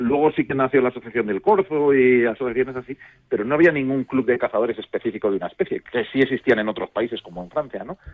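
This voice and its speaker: A man rushes along at a very fast pace, his medium pitch showing ordinary variation. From León, Spain. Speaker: hunting club president. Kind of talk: radio interview.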